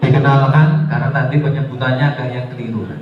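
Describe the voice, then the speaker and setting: A man's voice comes with audible room echo. Noticeable background noise is present too. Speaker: religious speaker. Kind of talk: religious talk to students. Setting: school hall with live audience.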